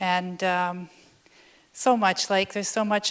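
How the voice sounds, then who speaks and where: This woman's voice sits at a medium pitch. Her intonation is monotone and flat. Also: very clean recording, silent background. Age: 60s. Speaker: yoga student giving testimonial. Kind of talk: testimony.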